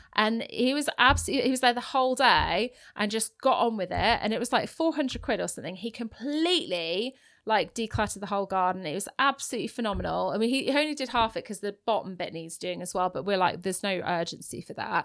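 The recording is very clean, with a silent background. A woman with an English accent talks at a very fast pace, fairly high in pitch, with lively intonation. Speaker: property investor and podcast co-host. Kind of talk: casual chat. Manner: laughs often.

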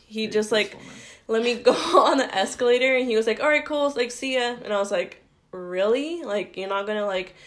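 A woman speaks at a moderate pace in a normal speaking voice, with a fairly high pitch and ordinary pitch variation. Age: 20s. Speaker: stay-at-home mom and photographer. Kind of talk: casual chat.

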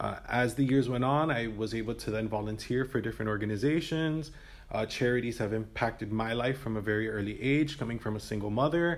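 A man with an American accent talks at a fairly quick pace in an unremarkable speaking voice, medium in pitch with ordinary pitch variation and hardly any pauses. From Miami, Florida. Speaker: health educator. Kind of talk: interview.

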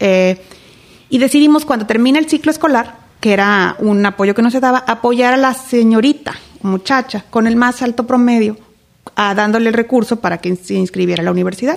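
At a moderate pace, a woman uses an unremarkable speaking voice with very even loudness. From Mexico, Reynosa, Tamaulipas. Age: 40s. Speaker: political candidate. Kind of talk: interview.

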